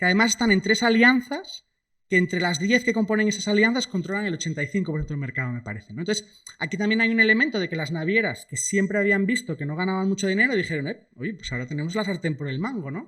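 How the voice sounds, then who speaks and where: At a very fast pace, a man with high pitch and lively intonation uses a raised, projected voice with a bright, sharp tone, recorded very cleanly over a silent background. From Spain, Asturias (Cangas del Narcea). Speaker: economist, guest speaker. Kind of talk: lecture. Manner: casual, many fillers.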